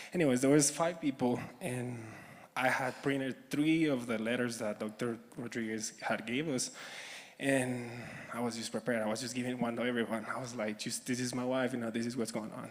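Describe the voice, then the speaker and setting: A man at medium pitch with a Spanish accent, fairly quick pace, and fairly even intonation. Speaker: audience member asking a question. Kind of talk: audience question at a conference. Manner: halting.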